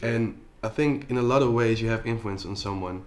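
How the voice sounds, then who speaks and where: A man with a Dutch accent talks at a moderate pace and medium pitch with fairly even intonation. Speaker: entrepreneur and influencer. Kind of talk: interview. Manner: halting, many fillers.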